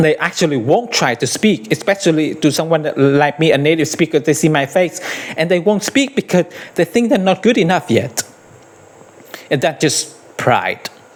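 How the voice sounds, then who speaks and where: A man with a fairly high voice speaks at a moderate pace with lively intonation and very even loudness. Noticeable background noise runs underneath. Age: 50s. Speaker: English teacher. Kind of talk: tutorial. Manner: hesitant, repeats words.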